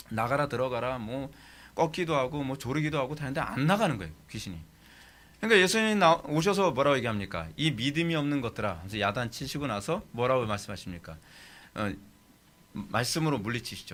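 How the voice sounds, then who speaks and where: Vocal fry runs through a man's medium-pitched voice. He talks at a very fast pace with very wide pitch swings. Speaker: pastor teaching theology. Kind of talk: sermon lecture.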